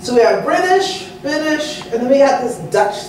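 In an American accent, a woman speaks at a fairly slow pace with very wide pitch swings, audible room echo and light background noise. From Texas. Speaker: culinary historian. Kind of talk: lecture. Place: hall.

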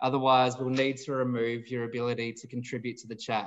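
A man speaks at a moderate pace with an Australian accent. His pitch sits in the medium range. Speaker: nonprofit director and webinar moderator. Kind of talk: moderated panel discussion. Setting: video call. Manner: formal.

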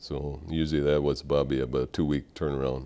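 There's a dark, mellow tone to this man speaking with an Upper Midwest accent. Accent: Upper Midwest American. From Minnesota. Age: 50s. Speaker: war veteran. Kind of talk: interview testimony. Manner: halting. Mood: calm, reflective. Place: studio. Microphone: lapel.

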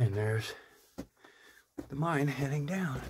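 A man speaks at a moderate pace, his voice somewhat breathy with ordinary pitch variation. Noticeable background noise sits behind him. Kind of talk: casual narration while exploring. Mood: excited but cautious. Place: tunnel cave. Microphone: phone near.

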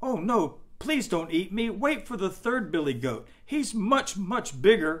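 Putting on a character voice, a man speaks at a high pitch. His pace is fairly slow. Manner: pleading.

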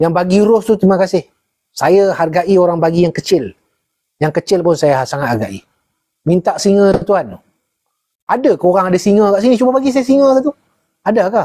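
With a dark, mellow tone and high pitch, a man talks at a fairly quick pace and very even loudness, taking long, frequent pauses over a quiet background. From Malaysia. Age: 50s. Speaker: former army jungle survival instructor; jungle lore host. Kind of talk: casual chat. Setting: livestream. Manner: calm. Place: home room. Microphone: lapel.

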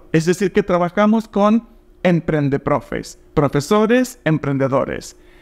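A man with a high pitch talks fairly slowly, his intonation lively. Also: quiet background. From Argentina. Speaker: language teacher and platform co-founder; language teacher. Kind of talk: promotional invitation video. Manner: direct. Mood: warm, smiling, upbeat. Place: home room. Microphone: lapel.

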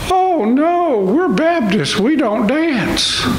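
A female-sounding, put-on character voice speaks at a very slow pace, with slight echo and clear background noise. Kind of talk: sermon. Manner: sheepish, embarrassed. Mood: light humor.

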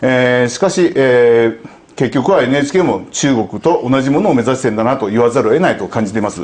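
Talking fairly quickly, a man uses ordinary pitch variation. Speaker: commentator. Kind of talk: panel discussion. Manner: halting. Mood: measured, critical. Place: studio. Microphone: lapel.

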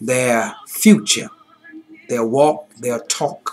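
A man talks at a very slow pace over light background noise. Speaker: pastor. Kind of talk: fervent closing prayer and benediction. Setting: virtual online service. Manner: rhythmic, repetitive preacher cadence; rising fervor building to a climactic benediction. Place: home room. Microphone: webcam.

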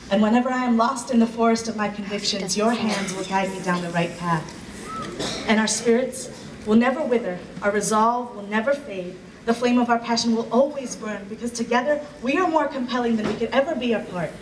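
A man's extremely high-pitched voice, fairly quick, with ordinary pitch variation over noticeable background noise. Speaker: spoken word poet. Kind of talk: poetry performance. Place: hall. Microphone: pa.

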